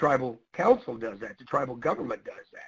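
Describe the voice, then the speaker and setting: A man speaks at a fairly quick pace with a medium pitch in an ordinary speaking voice. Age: 60s. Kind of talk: webinar presentation.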